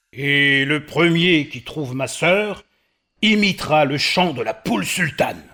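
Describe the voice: This man uses a cartoonish character voice, fairly high in pitch, delivered at a fairly slow pace.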